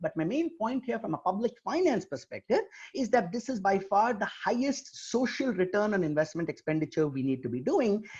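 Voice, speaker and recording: Using very wide pitch swings, a man with a high pitch talks at a fairly quick pace. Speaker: economist and professor. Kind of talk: webinar lecture. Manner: fast.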